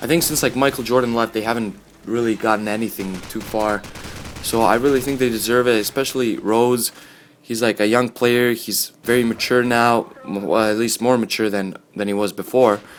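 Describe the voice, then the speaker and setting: A man speaks at a medium pitch with fairly even intonation. Noticeable background noise runs under his voice. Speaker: gaming and sports commentary youtuber. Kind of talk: casual commentary over gameplay. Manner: fast; casual, filler-heavy.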